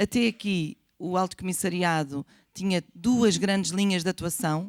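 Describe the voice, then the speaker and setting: In an ordinary speaking voice, a woman of medium pitch talks at a fairly slow pace, her sound dry and close with no echo on a very clean recording with a silent background. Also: ordinary pitch variation. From Portugal. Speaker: government official on immigration. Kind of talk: panel presentation. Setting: conference room with audience.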